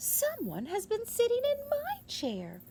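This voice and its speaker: Against clear background noise, a woman does a squeaky put-on character voice at an extremely high pitch and a fairly slow pace. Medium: read story.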